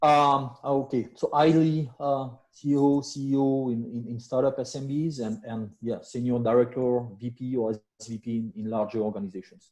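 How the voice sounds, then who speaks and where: Speaking in a French accent with hardly any pauses, a man keeps a moderate pace, a medium pitch and fairly even intonation. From France. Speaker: business executive. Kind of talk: self-introduction at networking meeting. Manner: halting, many fillers.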